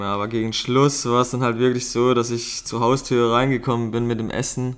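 Medium-pitched male speech at a fairly quick tempo. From Baden, southwest Germany. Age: 30s. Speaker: amateur strength athlete, host's partner. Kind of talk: casual chat.

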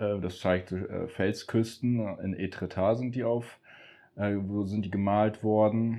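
Very slow in pace, a man speaks with fairly even intonation. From Emsland, northwest Germany. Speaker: painter. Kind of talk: casual interview. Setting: home studio and garden.

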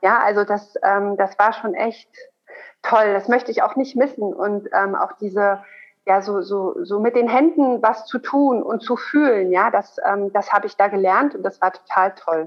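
This woman talks at a medium pitch with ordinary pitch variation. Her pace is fairly slow, in an ordinary speaking voice. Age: 30s. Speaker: gynecologist and lactation consultant. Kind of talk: interview.

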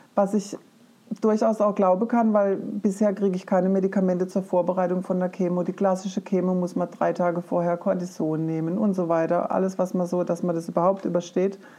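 The background noise is noticeable. A woman speaks at a medium pitch in a monotone, flat intonation. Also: fairly quick pace. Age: 50s. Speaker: forest educator and cancer patient. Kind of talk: personal testimony in an interview.

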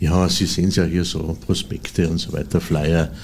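A man with a very deep, low voice talks at a moderate pace with fairly even intonation over noticeable background noise. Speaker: cabaret artist and literary performer. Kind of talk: interview. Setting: studio.

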